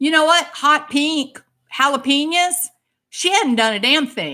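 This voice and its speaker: In a Texan accent, the voice has an animated, bright, sharp tone at a fairly slow pace on a very clean recording with a silent background. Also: woman. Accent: Texan Southern US. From US South, Texas. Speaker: livestream host, licensed clinician. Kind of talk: heated livestream chat.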